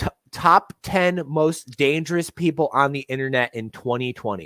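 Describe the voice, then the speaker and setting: The man's fairly high voice has a bright, sharp tone and a slight Detroit accent, moving at a moderate pace in a dry, close sound with no echo. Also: ordinary pitch variation. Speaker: online political figure, former miniature painter. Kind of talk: livestream interview.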